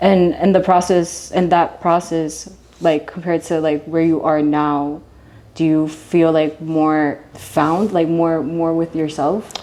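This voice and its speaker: A woman at a very slow pace, fairly low in pitch, with a dark, mellow tone, monotone, flat intonation and very even loudness. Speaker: interviewer, host. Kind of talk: interview questions.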